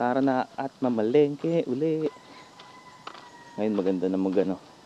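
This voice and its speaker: With clear background noise behind him, a man uses lively intonation at a moderate speed. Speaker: motovlogger. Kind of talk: casual vlog narration. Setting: riding pillion on a motorcycle on a bumpy road.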